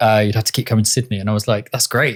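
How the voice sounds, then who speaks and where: Medium pitch from a man with a British accent. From England. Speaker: director and photographer. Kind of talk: podcast interview.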